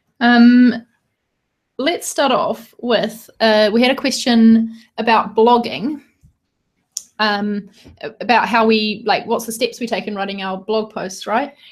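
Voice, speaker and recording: Somewhat breathy and in a New Zealand accent, the speaker moves at a fairly slow pace with long, frequent pauses and ordinary pitch variation. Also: woman, fairly high pitch for a woman. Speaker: podcast co-host, designer. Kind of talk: casual chat. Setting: live video stream, in a room together.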